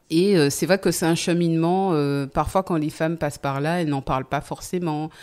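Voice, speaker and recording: A woman talks at a moderate pace with a fairly low pitch. Her intonation is fairly even, and the recording is very clean with a silent background. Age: 40s. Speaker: podcast guest sharing life story. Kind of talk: testimony. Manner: halting, many hesitations.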